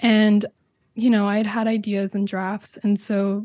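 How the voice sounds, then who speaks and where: A woman speaks at a moderate pace in a dark, mellow, somewhat breathy voice with flat, monotone intonation, recorded dry and close with no echo against a quiet background. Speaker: podcast creator and presenter. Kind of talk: interview about her own podcast.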